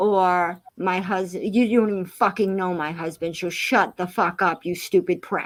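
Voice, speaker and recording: Her voice sits at a medium pitch. The woman talks at a fairly slow pace. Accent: Massachusetts. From Massachusetts. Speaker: live streamer. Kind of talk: casual chat. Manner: animated.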